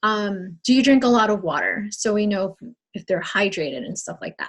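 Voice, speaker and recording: A woman speaks at a moderate pace in an unremarkable speaking voice. Her pitch sits in the medium range and varies in an ordinary way. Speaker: fitness coach leading team training. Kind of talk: training call.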